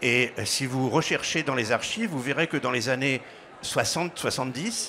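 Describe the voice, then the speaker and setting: An unremarkable speaking voice from a man, with lively intonation at a moderate pace. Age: 60s. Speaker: business school co-founder and director. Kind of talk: interview.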